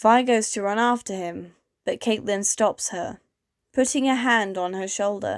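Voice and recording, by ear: Reading aloud in a natural voice, with ordinary pitch variation over a quiet background.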